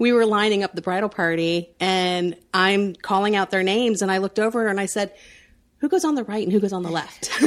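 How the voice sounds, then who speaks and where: In a very clean recording with a silent background, a woman with an American accent and a normal speaking voice talks at a fairly quick pace, her medium pitch showing ordinary variation. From Central Florida. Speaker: entrepreneur, family expo founder. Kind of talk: casual interview chat.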